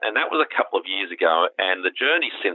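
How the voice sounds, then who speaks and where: A man with an Australian accent speaks. His pace is fairly quick. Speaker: legal tech company founder and CEO. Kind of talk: interview.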